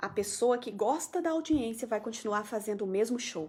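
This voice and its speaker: In an animated tone with lively intonation, a woman speaks at a moderate pace. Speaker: mental health program coordinator. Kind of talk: live stream talk answering viewer comments. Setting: Facebook live stream.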